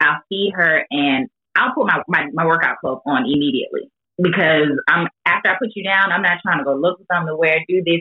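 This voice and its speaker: Speaking at a fairly quick pace, a woman has an unremarkable speaking voice with a fairly low pitch. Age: 30s. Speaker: mother, fitness enthusiast guest. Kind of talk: casual interview chat.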